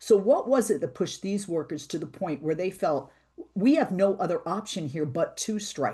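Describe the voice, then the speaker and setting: In an American accent, a woman with a dark, mellow, somewhat breathy tone speaks at a moderate pace with very wide pitch swings against a quiet background. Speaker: radio talk show host. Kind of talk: interview.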